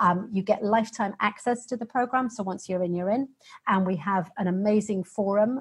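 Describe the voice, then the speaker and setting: A somewhat breathy woman's voice of medium pitch, with a British accent and fairly even intonation. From Britain. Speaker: fitness program founder, pelvic floor specialist. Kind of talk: interview.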